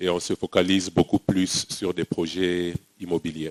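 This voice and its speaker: Very slow speech with a dry, close sound and no echo. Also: man. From DR Congo, Kinshasa. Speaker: management consultant. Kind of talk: panel discussion. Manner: hesitant.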